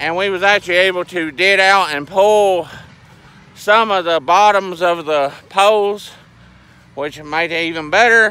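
In a Southern US accent, a man speaks with a high pitch and fairly even intonation. His pace is fairly slow, and the sound is dry with no echo. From US South. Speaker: farmer and video blogger. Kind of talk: casual vlog narration. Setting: outdoors. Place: open country. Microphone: phone near.

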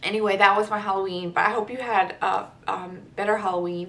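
Here a woman talks. She keeps a moderate pace. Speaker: beauty vlogger. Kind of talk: casual vlog chat. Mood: chatty, upbeat. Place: home room. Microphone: camera far.

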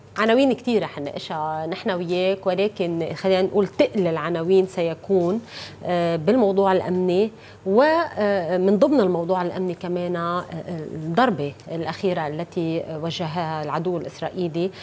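At a moderate pace, a woman speaks in a fairly low pitch with ordinary pitch variation, an unremarkable speaking voice. Light background noise can be heard. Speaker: TV talk show host. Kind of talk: interview introduction. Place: studio. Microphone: lapel.

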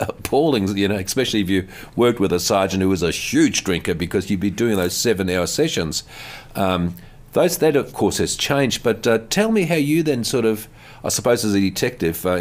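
Lively in intonation, a man with a fairly low voice talks at a fairly quick pace. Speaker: show host. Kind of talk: interview conversation, host recalling stories. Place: studio. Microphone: studio mic.

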